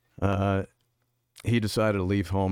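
An American accent comes from a man with a very deep, low pitch, speaking at a moderate pace. The recording is very clean and dry, with a silent background and a close sound with no echo. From New York. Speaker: political candidate and businessman. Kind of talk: casual interview. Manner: easygoing.

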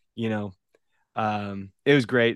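A man with an American accent speaks at a moderate pace and medium pitch. The sound is dry and close with no echo, and the background is quiet. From US, Louisville, Kentucky. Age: 30s. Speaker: podcast co-host. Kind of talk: casual chat. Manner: hesitant, many fillers.

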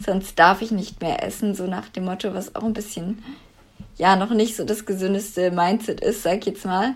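Speaking at a moderate pace, a woman keeps her medium pitch in a flat monotone. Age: 20s. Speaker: former coaching client. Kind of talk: interview.

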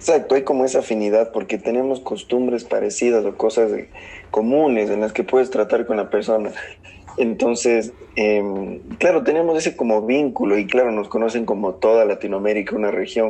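A man's voice at medium pitch with ordinary pitch variation, set against noticeable background noise. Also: moderate pace. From southern Ecuador. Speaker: economist. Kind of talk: casual chat.

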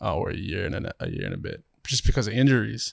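In a very clean recording with a silent background, a man with an Australian accent and vocal fry talks at a fairly quick pace. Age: 20s. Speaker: professional basketball player. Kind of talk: casual chat.

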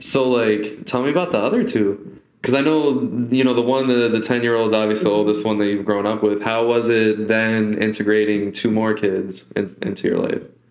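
A man's fairly low voice at a fairly quick pace, with ordinary pitch variation and audible room echo. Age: 20s. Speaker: podcast host. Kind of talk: casual interview.

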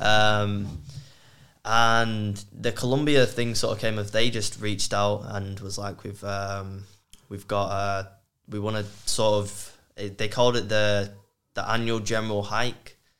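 The speaker talks at a fairly slow pace with a monotone, flat intonation. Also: man, fairly low pitch for a man. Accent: Mancunian. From Manchester, England. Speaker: outdoor content creator. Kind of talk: casual chat.

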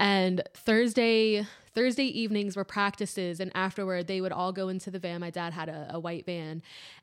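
At a moderate pace, a woman with an unremarkable speaking voice talks at a medium pitch with ordinary pitch variation. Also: hardly any pauses. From Maryland, US. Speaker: guitarist. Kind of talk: casual chat. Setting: studio.

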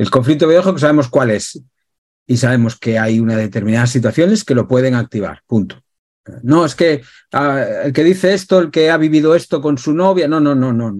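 This man has a plain, everyday voice, talking at a fairly quick pace with lively intonation and a fairly high pitch. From Galicia, Spain. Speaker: emotional therapist. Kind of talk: interview talk.

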